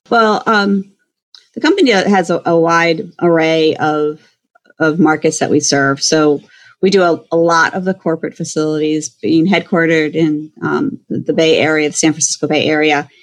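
A woman with a plain, everyday voice, fairly low in pitch, at a moderate pace with ordinary pitch variation. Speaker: food service consultant. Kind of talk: casual interview.

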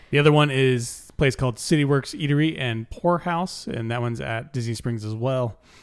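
Someone with an American accent talks at a fairly quick pace with hardly any pauses and ordinary pitch variation. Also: man, medium pitch for a man. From California. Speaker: podcast co-host. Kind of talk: casual chat.

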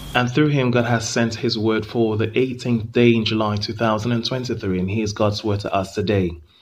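A man's medium-pitched, monotone, flat delivery at a moderate pace with hardly any pauses. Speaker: devotional podcast host. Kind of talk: scripted devotional reading. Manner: formal.

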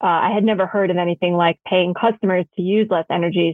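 A woman talks at a very fast pace. Her pitch is fairly low and her intonation fairly even. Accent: American. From New York City. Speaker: energy company co-founder and executive. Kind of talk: interview.

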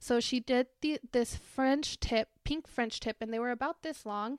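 The speaker is a woman with a Spanish accent. Her pitch is high. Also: dry, close sound with no echo. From Greeley, Colorado, US (born in Chihuahua, Mexico, moved at seven). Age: 20s. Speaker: podcast host. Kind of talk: casual solo monologue.

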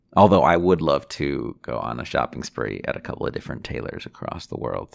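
A man with a very deep, low pitch and vocal fry talks at a moderate pace with ordinary pitch variation, recorded very cleanly against a silent background. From Chicago. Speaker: podcast host. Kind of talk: casual solo monologue. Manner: unscripted, hesitant with fillers.

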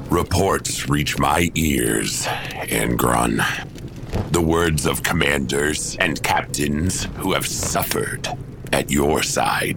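A man talking at a very slow pace over loud background noise. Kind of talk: audio drama acting. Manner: calm, firm, reproachful.

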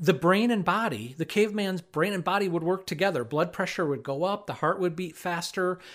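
With an American accent, a man speaks at a high pitch and fairly quick pace, with hardly any pauses. His ordinary pitch variation comes through on a very clean recording with a silent background. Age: 50s. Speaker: professor and agricultural safety specialist. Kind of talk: educational talk.

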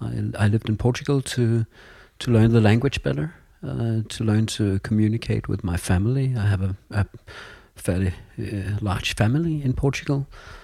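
On a very clean recording with a silent background, a somewhat breathy voice moves at a moderate pace with lively intonation. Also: man, fairly low pitch for a man. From Denmark (Copenhagen). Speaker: school vice principal. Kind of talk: interview conversation. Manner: halting, frequent repetitions.

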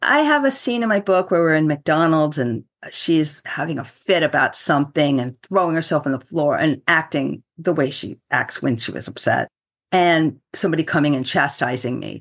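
A woman speaks in a very deep, low voice against a quiet background. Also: ordinary pitch variation, moderate pace. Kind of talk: interview.

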